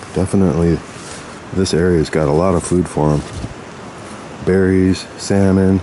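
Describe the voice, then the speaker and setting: A man with a very deep, low voice speaks at a moderate pace in a flat monotone, his loudness very even, with long, frequent pauses and noticeable background noise. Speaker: outdoor explorer vlogger. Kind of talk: casual field vlog narration. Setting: outdoors in a valley. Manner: quiet, hushed.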